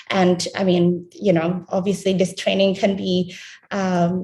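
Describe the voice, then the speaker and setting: A woman speaks in a somewhat breathy voice. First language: not English. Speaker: health research trainee. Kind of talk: panel presentation. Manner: halting, many fillers.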